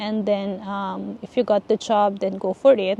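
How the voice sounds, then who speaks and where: A woman with a Filipino accent, in a dry, close recording with no echo. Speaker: vlogger, nurse living abroad. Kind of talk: casual advice vlog. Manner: halting, many fillers.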